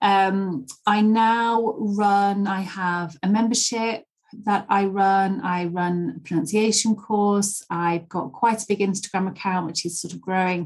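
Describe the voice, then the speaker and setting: In a Yorkshire accent, a woman of medium pitch speaks at a fairly slow pace with fairly even intonation and hardly any pauses. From Leeds, northern England. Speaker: English pronunciation teacher. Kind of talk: interview.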